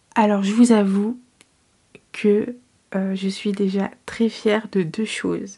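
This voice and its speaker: A soft-spoken woman with a dark, mellow tone and a somewhat breathy sound talks at a very slow pace in a monotone, flat intonation. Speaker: book vlogger. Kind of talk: casual vlog to camera. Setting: at home at night. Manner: soft-spoken, quiet.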